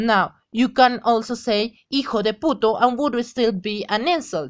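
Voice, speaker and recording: In a Spanish accent, a woman speaks with a fairly high pitch. The recording is very clean, with a silent background. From Mexico. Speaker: language tutor. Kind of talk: tutorial. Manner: halting.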